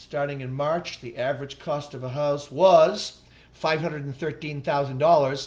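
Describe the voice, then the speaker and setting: A somewhat breathy man with a fairly high pitch, ordinary pitch variation and a moderate pace. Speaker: real estate broker. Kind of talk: live-streamed market update. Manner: casual, self-deprecating; higher pitch than usual.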